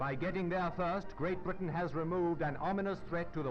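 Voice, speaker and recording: Over music in the background, a man with a high pitch speaks at a fairly quick pace in a dramatic tone. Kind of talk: 1940s wartime newsreel narration. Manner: formal, dramatic, authoritative.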